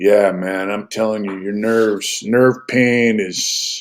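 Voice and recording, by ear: At a slow pace, a man speaks with a fairly low pitch and fairly even intonation.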